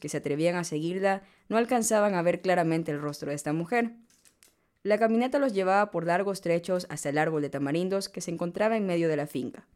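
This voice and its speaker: A woman uses an unremarkable speaking voice, fairly low in pitch with ordinary pitch variation. She talks at a fairly quick pace in a very clean recording with a silent background. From Ecuador, Manabí coast. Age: 20s. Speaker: podcast host, economist. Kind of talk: reading aloud a legend. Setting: studio.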